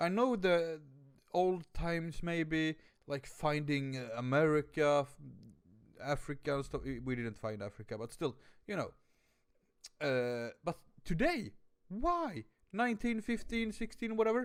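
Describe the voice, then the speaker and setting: A man with a Swedish accent and a fairly high pitch speaks at a fairly slow pace in an animated tone, with very wide pitch swings and long, frequent pauses. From Sweden. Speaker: reaction video youtuber. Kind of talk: casual reaction commentary. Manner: animated, halting.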